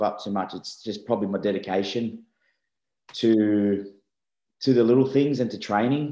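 Dark and mellow in tone, a man with an Australian accent talks at a moderate pace and medium pitch with ordinary pitch variation. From Australia, Sydney. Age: 30s. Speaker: rugby league player. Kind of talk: casual interview. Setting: video call.

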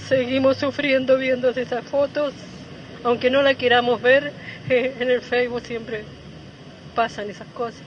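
Fairly slow, monotone speech with flat intonation, long and frequent pauses, and noticeable background noise. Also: woman, high pitch for a woman. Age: 70s. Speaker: mother of a femicide victim. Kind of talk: testimony. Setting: outdoors at a plaza rally. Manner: halting.

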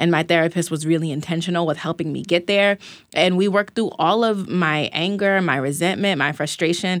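This woman has a fairly low pitch and fairly even intonation, moving at a fairly quick pace. The recording is very clean, with a silent background. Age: 20s. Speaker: journalist and wellness founder. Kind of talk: casual chat. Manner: casual, free-spoken.

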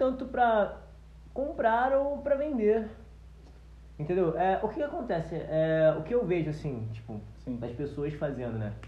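A man speaks at a high pitch with very wide swings in it. His pace is fairly slow, and the room echo is audible. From Brazil, Nilópolis (Rio de Janeiro area). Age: 20s. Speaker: agronomist and musician. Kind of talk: casual chat.

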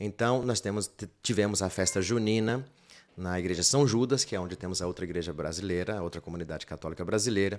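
Very fast speech with ordinary pitch variation comes through in a very clean recording with a silent background. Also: man, fairly low pitch for a man. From Bahia, Brazil (rural interior). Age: 50s. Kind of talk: casual interview chat.

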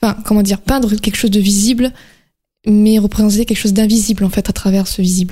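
Somewhat breathy and dark, mellow in tone, a woman's fairly high voice moves at a fairly quick pace. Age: 20s. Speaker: painter. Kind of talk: interview. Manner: halting.

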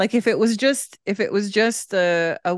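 A woman speaks at a fairly slow pace with ordinary pitch variation, a plain, everyday voice. The background is quiet. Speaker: podcast co-host. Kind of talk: casual chat. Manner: laughs often.

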